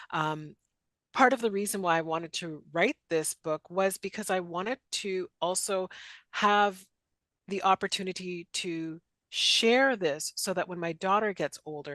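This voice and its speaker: A woman with a Canadian accent speaks at a fairly slow pace, her bright, sharp tone at a medium pitch with ordinary pitch variation, in a dry, close sound with no echo and a quiet background. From western Canada. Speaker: author and career instructor. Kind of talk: interview.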